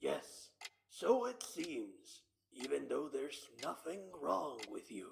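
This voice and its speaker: Fairly slow speech from a man in a put-on character voice. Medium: audio drama. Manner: smooth, coaxing.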